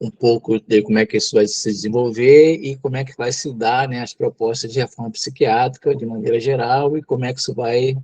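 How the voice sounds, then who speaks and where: A man speaks at a medium pitch with a somewhat breathy, dark and mellow tone, fairly even intonation, and a dry, close sound with no echo. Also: hardly any pauses. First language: Tupi (speaking Portuguese). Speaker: psychologist and mental health lecturer. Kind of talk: lecture. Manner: hesitant, many fillers.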